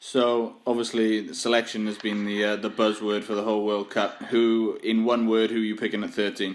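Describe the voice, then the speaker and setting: A man with a Welsh accent, medium in pitch, monotone and flat, at a moderate pace with hardly any pauses. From Wales. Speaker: podcast host. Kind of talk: casual chat.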